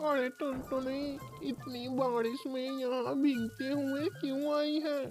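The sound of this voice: A cartoonish, female-sounding character voice speaks at a very slow pace. Clear music plays in the background.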